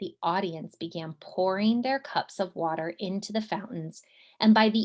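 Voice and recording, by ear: The text is read aloud in a natural voice whose pitch varies in an ordinary way.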